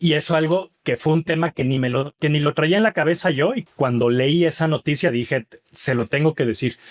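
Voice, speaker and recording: A man with a Mexican accent speaks at a moderate pace in a fairly high voice, his pitch varying in an ordinary way and his loudness very even, in a dry, close sound with no echo. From Mexico (Mexico City, Monclova). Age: 40s. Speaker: author and father. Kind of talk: interview conversation.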